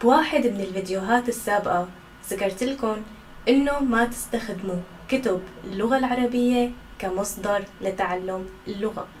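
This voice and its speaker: A woman speaks in a Syrian accent at a fairly slow pace and fairly high pitch. Noticeable background noise runs underneath. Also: ordinary pitch variation. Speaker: Arabic language instructor. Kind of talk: educational talk to camera. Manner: natural, conversational.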